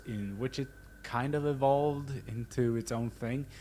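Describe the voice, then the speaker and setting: A man's somewhat breathy voice at a fairly slow pace. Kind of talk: casual film essay narration.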